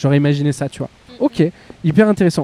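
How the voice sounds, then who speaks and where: Against noticeable background noise, a man talks at a moderate pace and a fairly high pitch, the sound dry and close with no echo. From Beauvais, northern France. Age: 30s. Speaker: podcast host. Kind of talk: casual chat. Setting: outdoors. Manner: animated.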